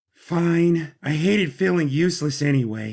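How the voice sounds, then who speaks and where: A man speaks in a put-on character voice. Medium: audio drama. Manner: brisk, dry.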